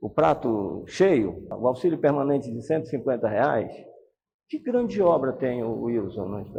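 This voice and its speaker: A man speaks with very wide pitch swings. Vocal fry runs through his voice. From Brazil, Pará (Santarém). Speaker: politician, retired police colonel. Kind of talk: interview. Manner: animated.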